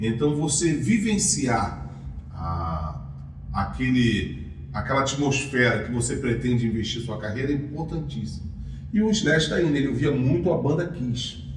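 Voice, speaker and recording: There is noticeable background noise and audible room echo around this man. He talks at a fairly slow pace in a medium pitch, with very wide pitch swings. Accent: Carioca. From Rio de Janeiro, Brazil. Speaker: music teacher and YouTuber. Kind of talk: educational commentary. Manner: casual, conversational.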